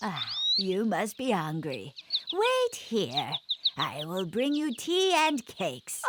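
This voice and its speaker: In a cartoonish character voice, the speaker talks at a fairly high pitch and a fairly slow pace. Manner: sweet, falsely kind.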